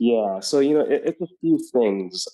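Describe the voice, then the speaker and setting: Recorded dry and close with no echo, the man's voice carries a dark, mellow tone. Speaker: podcaster. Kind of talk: interview. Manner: monotone; hesitant, many fillers.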